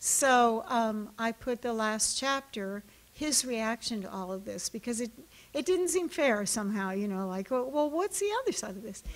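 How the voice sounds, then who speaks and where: Her intonation is lively and her pitch fairly high for a woman. She keeps a moderate pace. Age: 60s. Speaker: novelist. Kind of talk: author talk. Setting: library event with audience. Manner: hesitant, many fillers.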